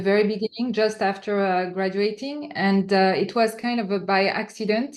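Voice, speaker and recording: With a French accent, a woman speaks at a medium pitch and a moderate pace, with ordinary pitch variation, against noticeable background noise. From France. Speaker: entrepreneur. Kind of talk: interview answer. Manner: hesitant, many fillers.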